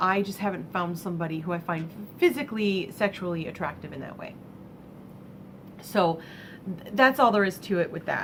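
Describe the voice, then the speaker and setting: A woman with an American accent talks at a moderate pace, with big swings in loudness and long, frequent pauses, over noticeable background noise. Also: medium pitch for a woman, ordinary pitch variation. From US Midwest, Michigan. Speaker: vlogger and crafter. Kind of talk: casual vlog monologue. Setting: home vlog space. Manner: halting.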